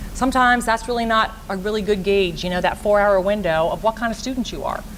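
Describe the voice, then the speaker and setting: Against noticeable background noise, a woman speaks very fast at a medium pitch with fairly even intonation. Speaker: school guidance counselor. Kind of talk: presentation to parents and students.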